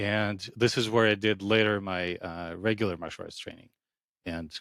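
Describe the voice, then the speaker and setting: A man with a non-native accent at a moderate pace, fairly even in intonation, in a dry, close sound with no echo. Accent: foreign. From Ukraine, then Israel as a teenager. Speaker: acupuncturist. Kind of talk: podcast interview.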